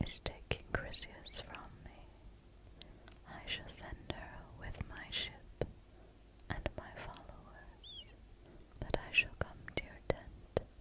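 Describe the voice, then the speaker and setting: Whispering at a very slow pace, with long, frequent pauses and noticeable background noise. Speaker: ASMR creator. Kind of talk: whispered ASMR reading of an epic poem. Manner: whispered, relaxing.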